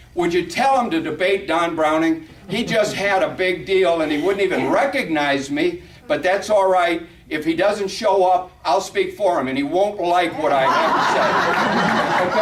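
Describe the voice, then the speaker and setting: A man with a high voice speaks in an animated tone at very even loudness, with audible room echo and noticeable background noise. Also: ordinary pitch variation, fairly slow pace. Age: 60s. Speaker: congressional candidate. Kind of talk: campaign speech with audience Q&A. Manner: halting.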